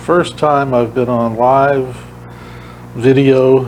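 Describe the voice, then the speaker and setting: A man with an American accent, against noticeable background noise. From Massachusetts. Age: 60s. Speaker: retired cab driver. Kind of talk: radio interview. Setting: radio studio, live video. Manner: halting, many fillers.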